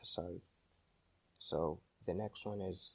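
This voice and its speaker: A man with a non-native accent and a fairly low pitch speaks quietly at a very slow pace. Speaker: tech YouTuber. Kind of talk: tech tutorial narration.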